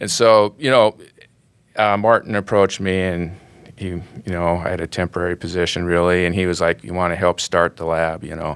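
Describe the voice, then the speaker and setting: A man with an American accent and a very deep, low pitch talks at a fairly quick pace with fairly even intonation, in a dry, close sound with no echo. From US, west central North Dakota. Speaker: research scientist. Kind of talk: interview. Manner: hesitant, repeats words.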